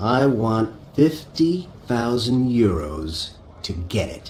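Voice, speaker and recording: Using a put-on character voice, a man with a medium pitch speaks at a very slow pace with very wide pitch swings over clear background noise. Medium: audio drama.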